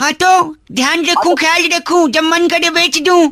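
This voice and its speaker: Extremely high-pitched, put-on character voice. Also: moderate pace. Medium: comedy sketch. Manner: cheeky, teasing.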